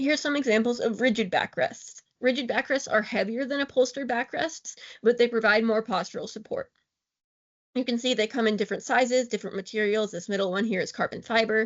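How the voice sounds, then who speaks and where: At a fairly quick pace, a woman talks with ordinary pitch variation. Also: fairly high pitch for a woman. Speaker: wheelchair outreach educator. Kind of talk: lecture. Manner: fast.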